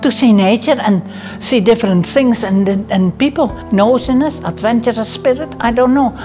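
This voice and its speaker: A woman with a Dutch accent, lively intonation and a fairly slow pace, over clear background music. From Netherlands. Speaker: midwife. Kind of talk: interview answer. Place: home room. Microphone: lapel.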